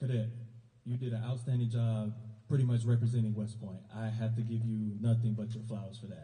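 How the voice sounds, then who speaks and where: A man with a medium pitch speaks very fast in an American accent. His intonation is monotone and flat, and the room echo is audible. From US South, South Carolina. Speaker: army recruiter. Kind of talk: award ceremony speech. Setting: school awards ceremony with audience. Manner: casual.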